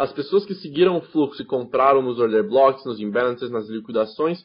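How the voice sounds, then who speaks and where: A man's pitch swings very widely while his pace stays moderate. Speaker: trading instructor. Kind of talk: lecture.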